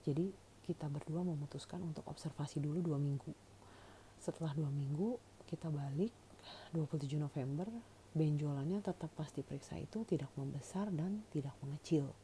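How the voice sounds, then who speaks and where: A woman's very deep, low voice with a dark, mellow tone at a fairly quick pace. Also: ordinary pitch variation. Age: 40s. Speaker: cancer patient vlogger. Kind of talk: personal testimony. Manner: casual, conversational with fillers.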